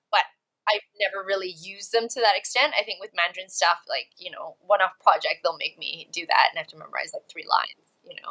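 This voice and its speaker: A medium-pitched woman's voice with a bright, sharp tone. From Malaysia and Canada. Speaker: actress and talent agency founder. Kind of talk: casual interview chat.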